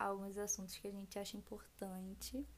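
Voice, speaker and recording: A woman with an ordinary speaking voice at medium pitch. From Rio de Janeiro state interior, Região dos Lagos. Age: 20s. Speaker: podcast co-host, braiding entrepreneur. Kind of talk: casual chat.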